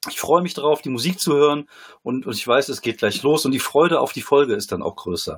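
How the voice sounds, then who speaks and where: With a plain, everyday voice, a man speaks at a fairly quick pace and a fairly high pitch, his intonation lively. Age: 40s. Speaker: comedian and former poetry slammer. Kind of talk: casual chat.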